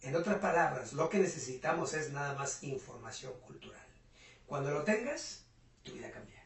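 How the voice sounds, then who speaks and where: A moderate pace with big swings in loudness, audible room echo and noticeable background noise. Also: man, fairly high pitch for a man, ordinary pitch variation. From Mexico, rural Puebla. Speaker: entrepreneur and business mentor. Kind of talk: interview.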